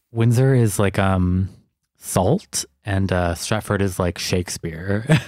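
Speaking at a very slow pace, a man uses a fairly low pitch. He talks with a Canadian accent. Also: ordinary pitch variation. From Toronto, Canada. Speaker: podcast host. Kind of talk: casual chat. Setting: video call.

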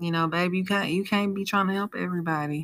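This woman has an ordinary speaking voice set at a fairly low pitch. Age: 30s. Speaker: podcast host. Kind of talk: solo monologue podcast. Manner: casual.

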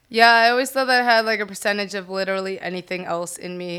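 A woman with a Southern California accent speaks at a medium pitch in a bright, sharp tone with fairly even intonation. The recording is very clean, with a silent background. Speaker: DJ and model. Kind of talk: casual interview.

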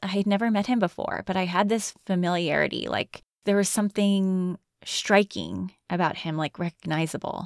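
In a plain, everyday voice, a woman speaks at a moderate pace. The sound is dry and close with no echo, a very clean recording with a silent background. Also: medium pitch for a woman, fairly even intonation. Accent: American. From Connecticut. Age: 40s. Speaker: podcast host. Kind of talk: solo reflective monologue.

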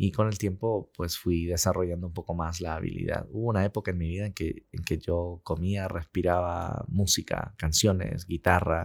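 With fairly even intonation, a man talks at a very deep, low pitch on a very clean recording with a silent background. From Peru. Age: 40s. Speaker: sales director. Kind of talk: interview conversation.

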